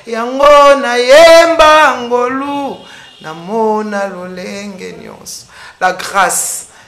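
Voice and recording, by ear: With a fairly bright tone and lively intonation, a woman talks at a fairly high pitch amid audible room echo.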